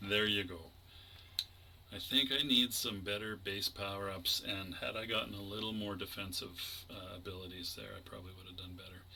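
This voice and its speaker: A man with a Canadian accent speaks at a fairly quick pace and fairly low pitch, his intonation fairly even but his loudness swinging widely, amid audible room echo and noticeable background noise. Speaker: gaming YouTuber. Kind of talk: gameplay commentary.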